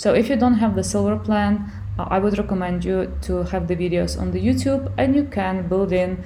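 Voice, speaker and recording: Through noticeable background noise and audible room echo, a woman with a Ukrainian accent talks at a fairly quick pace. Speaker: online business tutor. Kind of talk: software tutorial. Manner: halting, many fillers.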